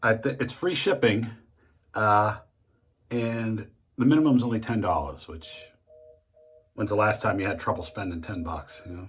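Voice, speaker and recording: Somewhat breathy and fairly low-pitched, a man with an American accent talks at a moderate pace with lively intonation and long, frequent pauses. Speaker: shaving video creator. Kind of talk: casual tutorial monologue. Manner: halting.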